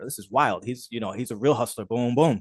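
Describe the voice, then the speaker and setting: With a New Jersey accent, a man talks at a very fast pace in a dry, close sound with no echo and a quiet background. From New Jersey, Jersey City. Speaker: street photographer. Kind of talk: casual chat.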